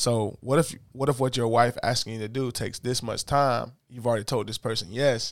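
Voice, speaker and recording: A man with an American accent talks at a fairly quick pace, with hardly any pauses, in an unremarkable speaking voice of medium pitch and fairly even intonation. The recording is very clean, with a silent background. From US, inner-city neighborhood. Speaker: podcast host. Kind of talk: casual chat.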